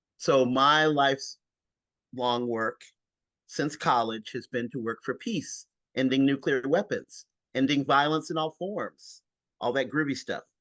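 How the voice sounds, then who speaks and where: With an American accent, a man speaks at a fairly slow pace with long, frequent pauses, his fairly high pitch showing ordinary variation and a bright, sharp tone. The sound is dry and close with no echo, over a quiet background. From North Carolina (Lincolnton). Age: 60s. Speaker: peace and anti-poverty activist. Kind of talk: casual video-call discussion.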